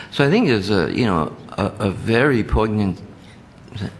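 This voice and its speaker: At a moderate pace, a man talks in a fairly low pitch with ordinary pitch variation over noticeable background noise. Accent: New Jersey. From New Jersey, Jersey City. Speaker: committee chair. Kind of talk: committee meeting discussion.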